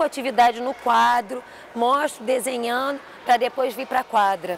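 A woman with a high pitch speaks at a moderate pace with ordinary pitch variation. The sound is dry, with no echo and light background noise. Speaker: physical education teacher. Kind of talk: testimony interview. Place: hall. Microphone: lapel.

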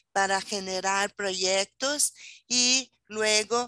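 The pitch moves in an ordinary way. The background is quiet and the sound is dry, with no echo. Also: woman. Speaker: presenter. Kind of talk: lecture. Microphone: video call.

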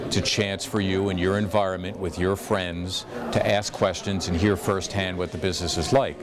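Very deep, low male speech at a moderate pace against noticeable background noise. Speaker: sports play-by-play announcer. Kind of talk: career advice talk to students. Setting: interview answer recorded at a school. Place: hall.

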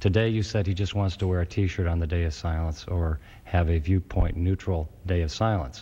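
A man talks with a very deep, low pitch. His voice is somewhat breathy. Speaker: appellate judge. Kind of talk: courtroom oral argument.

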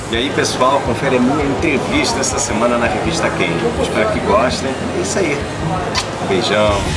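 Loud background noise fills the clip. Over it a man speaks at a moderate pace. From Portugal, Lisbon. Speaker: actor. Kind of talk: casual talk to camera. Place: shop. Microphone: camera far.

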